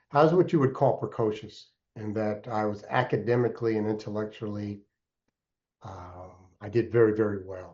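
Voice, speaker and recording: Somewhat breathy and fairly low in pitch, a man speaks at a moderate pace with big swings in loudness. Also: ordinary pitch variation. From Alaska (Anchorage), earlier upstate New York. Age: 60s. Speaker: entrepreneur and mentor. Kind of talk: podcast interview.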